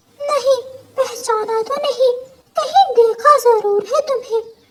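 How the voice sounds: A woman does a cartoonish character voice pitched extremely high, talking fairly slowly.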